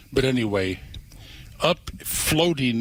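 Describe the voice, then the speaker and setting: A man of medium pitch speaks at a fairly slow pace with lively intonation. Noticeable background noise is present. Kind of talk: casual storytelling on radio, conversational.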